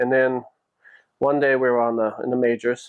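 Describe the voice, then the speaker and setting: This man speaks with an American accent. His pitch is medium and his pace moderate. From United States. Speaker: baseball team interpreter, vlogger. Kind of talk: casual storytelling vlog. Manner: halting, many repeats and fillers.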